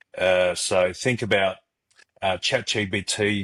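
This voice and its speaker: A man with an Australian accent, fairly low in pitch and monotone, flat in intonation, on a very clean recording with a silent background. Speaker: startup co-founder. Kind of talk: podcast interview. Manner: halting, many fillers.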